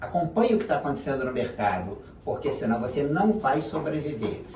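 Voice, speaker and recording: Amid noticeable background noise and audible room echo, a man speaks at a fairly high pitch with lively intonation. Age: 70s. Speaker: business consultant and professor. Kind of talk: interview.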